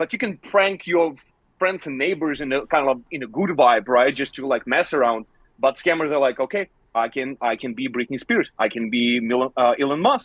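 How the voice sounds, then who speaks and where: A man speaks with an Eastern European accent at a moderate pace. His intonation is lively. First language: non-native English speaker. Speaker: scam baiter. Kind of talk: live Q&A discussion. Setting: livestream.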